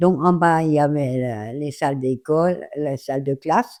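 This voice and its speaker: A woman's very deep, low voice, dark and mellow in tone, at a very slow pace with ordinary pitch variation against a quiet background. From Alsace, France. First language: German / Alsatian (speaking French). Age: 80s+. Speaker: elderly interviewee. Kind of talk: interview testimony. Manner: halting.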